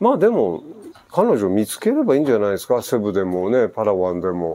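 This man keeps a fairly low pitch, a moderate pace and ordinary pitch variation. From Japan. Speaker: expat vlogger. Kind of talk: casual vlog answering listener mail. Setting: outdoor gazebo at home. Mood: relaxed, reflective. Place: garden. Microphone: lapel.

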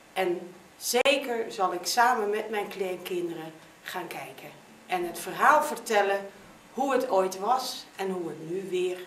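A woman speaks at a fairly slow pace with big swings in loudness, amid audible room echo and light background noise. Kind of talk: interview statement. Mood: warm, hopeful. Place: office. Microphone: camera far.

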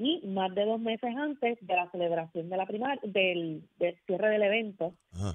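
A woman's ordinary speaking voice, medium in pitch, with ordinary pitch variation. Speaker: lawyer and party electoral official. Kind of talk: radio interview. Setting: phone call.

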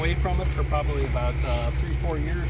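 Loud background noise surrounds a man talking at a moderate pace, his voice dry with no echo. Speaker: railfan visitor. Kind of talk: casual explanatory chat. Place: open country. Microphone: phone near.

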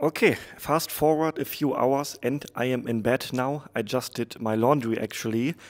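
A man with a German accent, fairly even intonation and hardly any pauses against a quiet background. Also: medium pitch for a man, moderate pace. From Germany. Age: 30s. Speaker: travel vlogger. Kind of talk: travel vlog narration. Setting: on location, outdoors and traveling. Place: home room.

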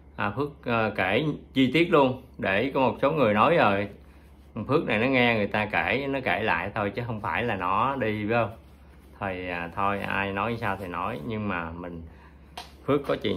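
Light background noise sits behind a man speaking at a fairly slow pace. His voice is fairly low with ordinary pitch variation. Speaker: vlogger recounting past experience. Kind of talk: casual vlog storytelling. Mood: calm reminiscent. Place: home room. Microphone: phone near.

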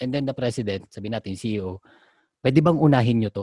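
A man with an unremarkable speaking voice at a fairly quick pace, in a very clean recording with a silent background. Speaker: podcast co-host discussing IT project management. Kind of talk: casual chat.

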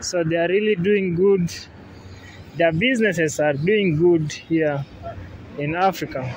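With a high pitch and ordinary pitch variation, a man talks at a fairly slow pace with long, frequent pauses, the sound dry with no echo and light noise behind him. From Kenya. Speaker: travel vlogger. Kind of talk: vlog walking tour narration. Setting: outdoors. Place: street. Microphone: phone near.

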